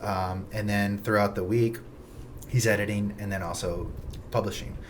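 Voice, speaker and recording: A man speaks at a fairly quick pace in a fairly low voice with monotone, flat intonation, with noticeable background noise and audible room echo. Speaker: real estate agent. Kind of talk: casual chat. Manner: fast.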